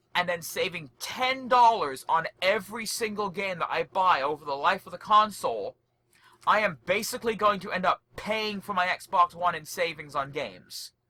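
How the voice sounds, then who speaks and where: A high-pitched man's raised, projected voice, animated, bright and sharp, with ordinary pitch variation and a dry, close sound with no echo. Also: moderate pace. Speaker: podcast co-host. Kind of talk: casual chat. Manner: loud.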